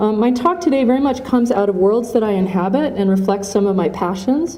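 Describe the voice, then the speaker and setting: A woman talks at a moderate pace with ordinary pitch variation. Audible room echo and noticeable background noise surround her voice. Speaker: academic conference speaker. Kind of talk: lecture. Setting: conference hall with audience, at podium with mic. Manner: reading from written notes.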